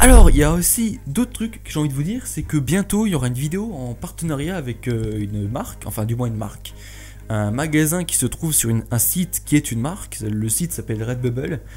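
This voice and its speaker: Fairly quick speech with music in the background. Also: man. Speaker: YouTuber. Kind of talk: casual vlog talk. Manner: energetic; hesitant, many fillers.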